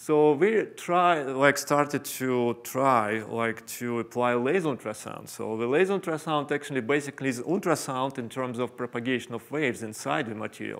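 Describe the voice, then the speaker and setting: Using ordinary pitch variation, a man talks with hardly any pauses. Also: moderate pace. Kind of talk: lecture. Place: hall.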